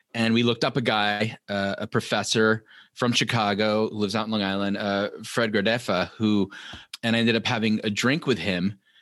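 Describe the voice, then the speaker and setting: Against a quiet background, a man talks at a fairly quick pace. His fairly low voice holds a monotone, flat intonation. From New York tri-state area. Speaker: TV writer and author. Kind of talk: interview.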